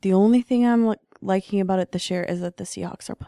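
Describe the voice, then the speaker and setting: On a very clean recording with a silent background, a woman speaks at a medium pitch. Her tone is dark and mellow, and the sound is dry and close with no echo. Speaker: podcast co-host. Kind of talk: casual chat. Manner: soft-spoken.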